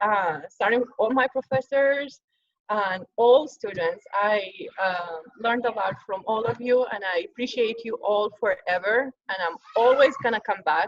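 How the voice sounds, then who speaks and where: With a non-native accent, a woman speaks at a fairly slow pace in a fairly high pitch with ordinary pitch variation. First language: not English. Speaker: social work graduate. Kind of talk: thank-you speech. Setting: video call. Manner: halting.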